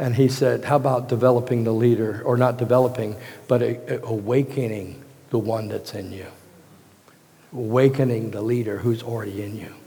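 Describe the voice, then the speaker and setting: With noticeable background noise and audible room echo, a man with an American accent speaks at a moderate pace in a monotone, flat delivery. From Virginia, US. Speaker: pastor. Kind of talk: sermon.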